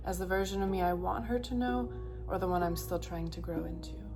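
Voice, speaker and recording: Over music in the background, a woman with a very deep, low voice speaks in a monotone, flat way. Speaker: mother. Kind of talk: spoken word poetry reading.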